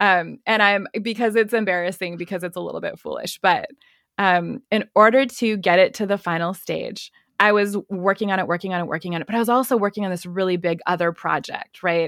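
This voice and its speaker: A woman speaks at a medium pitch with fairly even intonation and a fairly quick pace. The recording is very clean, with a silent background and a dry, close sound with no echo. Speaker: podcaster and fundraising consultant. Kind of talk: casual interview chat.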